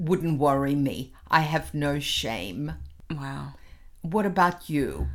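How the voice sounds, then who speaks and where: Her pitch is very deep and low, with vocal fry. The woman speaks at a very slow pace but with lively intonation. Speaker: co-host, mother. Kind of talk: casual chat, playful game.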